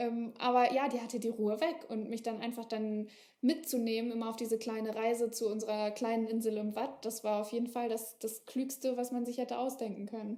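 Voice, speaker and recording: A woman talks at a fairly quick pace with hardly any pauses, her pitch fairly high and her intonation fairly even. It is a plain, everyday voice. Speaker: author. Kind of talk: casual chat. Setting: podcast.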